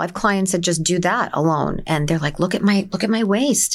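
The speaker is a woman with fairly low pitch. Her pitch varies in an ordinary way. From New Jersey, Essex County. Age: 50s. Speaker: wellness clinic owner. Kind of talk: casual interview.

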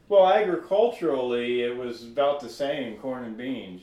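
Noticeable background noise sits behind a man who speaks at medium pitch with lively intonation. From New Jersey. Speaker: farmer. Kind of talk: casual interview. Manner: hesitant, many fillers.

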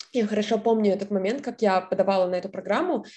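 Speaking at a fairly quick pace, a woman has a fairly high, somewhat breathy voice with a dark, mellow tone. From southern Russia. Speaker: scholarship student. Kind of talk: interview.

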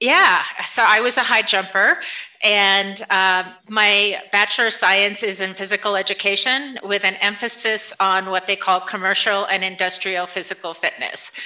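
An ordinary speaking voice from a woman with an American accent, medium in pitch, at a moderate pace with fairly even intonation. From upstate New York. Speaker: nonprofit fundraising director. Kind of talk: interview conversation.

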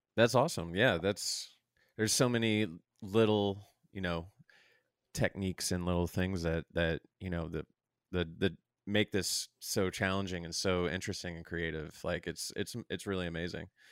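In a very clean recording with a silent background and a dry, close sound with no echo, a man with an American accent speaks at a moderate pace in a very deep, low pitch with fairly even intonation. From St. Charles, Missouri, US. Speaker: podcast host. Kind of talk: casual interview.

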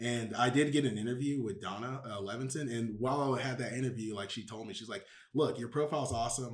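With an American accent, a man of medium pitch speaks at a fairly quick pace with ordinary pitch variation in a normal speaking voice. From Houston, Texas. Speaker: MBA student. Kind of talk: casual interview. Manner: filler-heavy casual speech.

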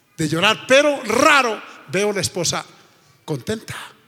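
A man speaks over noticeable background noise. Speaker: pastor. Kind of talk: sermon. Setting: church with congregation.

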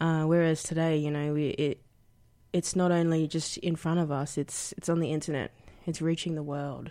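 In a very clean recording with a silent background, a woman speaks at a fairly low pitch with a dark, mellow tone. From Queensland, outskirts of Brisbane. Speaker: aspiring graphic designer, student. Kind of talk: radio interview. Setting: radio studio.

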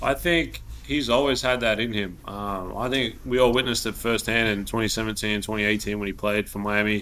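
A man speaks with an Australian accent at a fairly quick pace, with hardly any pauses. His fairly low-pitched voice has a bright, sharp tone and fairly even intonation. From Australia, Melbourne. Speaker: professional basketball player. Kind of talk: casual interview.

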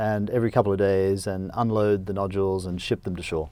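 Speaking at a very fast pace, a man talks with an Australian accent. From Australia (rural Queensland). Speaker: company CEO and entrepreneur. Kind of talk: interview. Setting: studio.

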